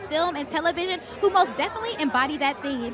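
A woman's voice comes out raised and projected. The sound is dry with no echo, while crowd noise fills the background. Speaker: event host. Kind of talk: presenter intro to camera. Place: street. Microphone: handheld.

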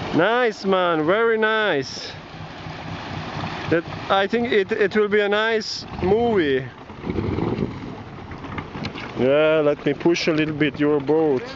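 Over noticeable background noise, the speech comes at a very slow pace with long, frequent pauses and a dry sound with no echo. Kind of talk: casual excited commentary. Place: waterside. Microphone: phone near.

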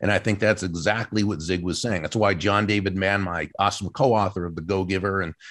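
This man has an ordinary speaking voice, fairly low in pitch with ordinary variation. The background is quiet. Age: 60s. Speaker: professional speaker and author. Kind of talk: interview conversation.

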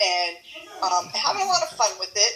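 A woman talks at a moderate pace. Light background noise runs underneath. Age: 50s. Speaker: keto group admin. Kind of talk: casual chat. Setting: video call. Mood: cheerful, chatty. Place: kitchen. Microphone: phone near.

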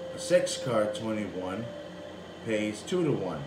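A man speaks over noticeable background noise. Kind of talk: casual tutorial commentary. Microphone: phone near.

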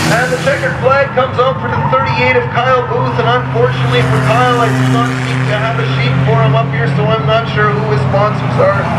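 Over loud background noise, a man speaks at a fairly quick pace. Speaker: track announcer. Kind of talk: race commentary. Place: stadium.

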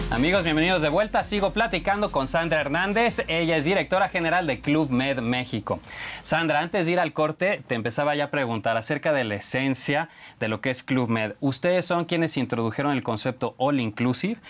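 With lively intonation and very even loudness, a man speaks at a fairly quick pace in a fairly high pitch. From Mexico. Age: middle-aged. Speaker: TV business show host. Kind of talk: interview. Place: studio. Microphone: lapel.

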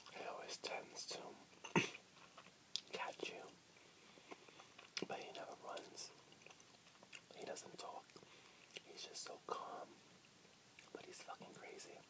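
Soft-spoken and whispering, a man talks at a very slow pace with long, frequent pauses over loud background noise. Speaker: vlogger. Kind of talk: casual vlog chat. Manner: soft ASMR whisper close to mic. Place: home room. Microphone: webcam.

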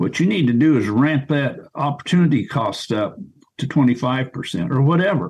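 Speaking at a fairly slow pace, a man with a medium pitch uses lively intonation in a somewhat breathy voice. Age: 70s. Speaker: cattle rancher. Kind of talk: casual interview.

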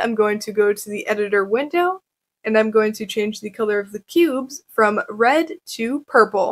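The woman talks at a moderate pace. Her loudness swings widely. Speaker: presenter. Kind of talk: tutorial.

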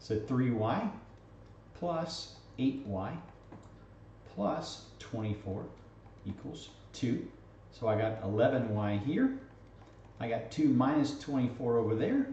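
A man at a very slow pace with long, frequent pauses and ordinary pitch variation, amid audible room echo and light background noise. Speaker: math teacher. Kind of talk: lecture.

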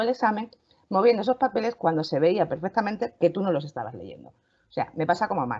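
A woman speaks at a medium pitch and a fairly quick pace. Her dark, mellow tone carries very wide pitch swings. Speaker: lawyer, panel regular. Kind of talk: casual panel discussion. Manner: loud.

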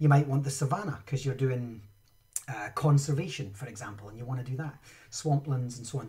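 With a Scottish accent, a man speaks at a medium pitch and a fairly quick pace, somewhat breathy, with ordinary pitch variation. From Scotland. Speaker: Minecraft education trainer and live streamer; Minecraft education trainer, live streamer. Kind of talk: live-streamed tutorial. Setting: home studio, live stream. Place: home room.

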